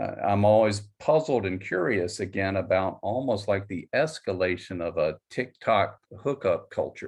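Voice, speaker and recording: A man speaks with a fairly low pitch and ordinary pitch variation. His pace is moderate, with hardly any pauses. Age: 60s. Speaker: psychologist. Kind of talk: audience question. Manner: halting.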